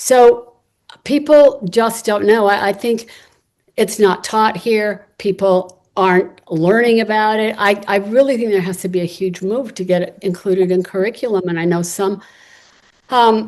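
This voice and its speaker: With an American accent, a woman in a normal speaking voice talks at a fairly slow pace, her medium pitch showing ordinary pitch variation. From United States. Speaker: activist and writer, panelist. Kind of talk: panel discussion answer.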